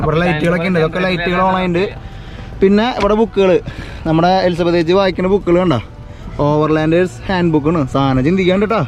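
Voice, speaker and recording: Over noticeable background noise, a high-pitched man speaks at a moderate pace with very even loudness, fairly even intonation and long, frequent pauses. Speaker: travel vlogger. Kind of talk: casual chat.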